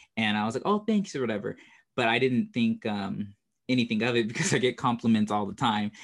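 With an unremarkable speaking voice, a man talks at a fairly quick pace, his pitch medium and its variation ordinary. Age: 30s. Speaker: podcast host. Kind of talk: casual chat.

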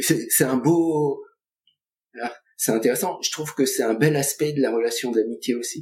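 Talking at a fairly slow pace, a man leaves long, frequent pauses. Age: 60s. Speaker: colleague of the host, guest speaker on friendship. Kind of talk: casual chat. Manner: hesitant.

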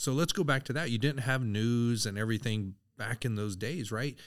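Speaking at a moderate pace, a man uses an unremarkable speaking voice. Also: very clean recording, silent background. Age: 50s. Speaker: army veteran and university lecturer. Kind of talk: casual chat.

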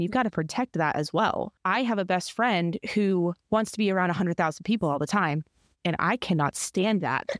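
With an unremarkable speaking voice, a woman talks fairly quickly at medium pitch with ordinary pitch variation and very even loudness, in a dry, close sound with no echo in a very clean recording against a silent background. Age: 30s. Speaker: podcast co-host, marketing director, former news reporter. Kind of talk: casual chat.

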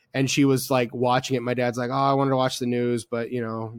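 The speaker is a man at medium pitch. He talks at a very fast pace. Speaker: podcast host. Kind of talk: casual chat. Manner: animated.

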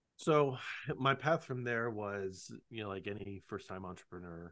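A man speaks at a fairly slow pace. His intonation is lively, and the background is quiet. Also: big swings in loudness. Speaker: lawyer and law firm owner. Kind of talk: casual interview.

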